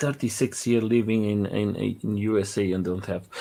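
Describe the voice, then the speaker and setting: A man with a non-native accent. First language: not English. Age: 40s. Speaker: live stream host, interviewer. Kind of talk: casual interview chat. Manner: halting, many fillers and repeats.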